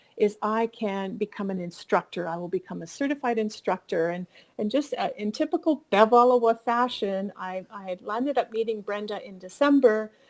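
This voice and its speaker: Speaking with a Canadian accent and a normal speaking voice, a woman with a fairly high pitch talks at a moderate pace, her intonation lively and her loudness swinging widely. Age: 60s. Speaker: fiber artist and instructor. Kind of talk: interview.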